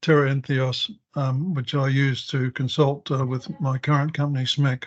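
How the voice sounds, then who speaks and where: In a somewhat breathy, fairly high voice, a man speaks at a moderate pace with fairly even intonation. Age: 70s. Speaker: geophysics consultant. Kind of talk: webinar presentation. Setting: online webinar. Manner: halting, many fillers.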